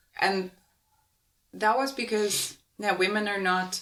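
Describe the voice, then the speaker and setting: Speaking fairly slowly, the woman has a Spanish accent. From Uruguay. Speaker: podcast co-host. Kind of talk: casual conversation.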